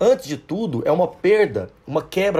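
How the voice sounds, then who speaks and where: The speaker is a man. His voice sounds somewhat breathy. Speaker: sociology teacher. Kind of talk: educational podcast lecture.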